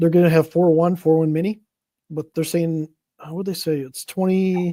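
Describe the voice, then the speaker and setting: The speaker mumbles at a fairly quick pace. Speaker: podcast host. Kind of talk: casual chat. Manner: mumbling.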